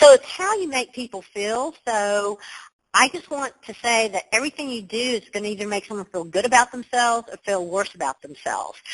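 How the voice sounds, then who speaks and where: Recorded dry and close with no echo, a woman with a fairly high voice talks at a moderate pace with lively intonation. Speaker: leadership coach. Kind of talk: webinar presentation. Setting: online webinar. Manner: animated.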